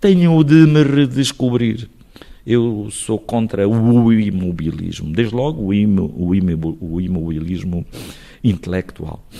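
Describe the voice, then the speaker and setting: Here a man speaks at a very slow pace with a fairly low pitch. His tone is dark and mellow, and his intonation is lively. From Portugal, Alto Alentejo (Crato area). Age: 60s. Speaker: mayor and lawyer. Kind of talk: radio interview. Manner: hesitant with repetitions.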